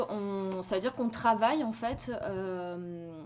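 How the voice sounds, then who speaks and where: Her pace is very slow. This woman has a fairly high pitch and ordinary pitch variation. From France, Marseille. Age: 30s. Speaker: journalist and documentary filmmaker. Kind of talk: interview with students. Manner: hesitant, many fillers.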